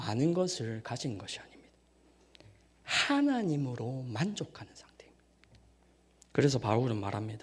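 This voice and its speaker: Lively intonation from a man at a medium pitch, somewhat breathy, with audible room echo. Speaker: evangelist preacher. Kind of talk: sermon. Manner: formal.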